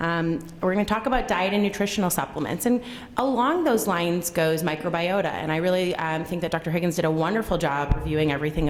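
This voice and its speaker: The recording has noticeable background noise and audible room echo. A woman with a fairly low pitch speaks at a very fast pace. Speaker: gastroenterologist. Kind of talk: lecture. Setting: conference room with audience. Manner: loud.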